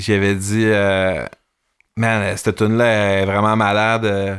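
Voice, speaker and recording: A man with a Quebec accent, fairly low pitch and monotone, flat intonation, in a very clean recording with a silent background. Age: 40s. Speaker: musician. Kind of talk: casual chat.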